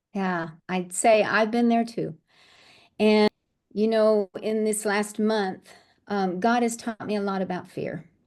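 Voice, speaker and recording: Very slowly, a woman talks in a fairly high pitch. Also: fairly even intonation, quiet background. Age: 60s. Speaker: life coach. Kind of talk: interview. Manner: halting.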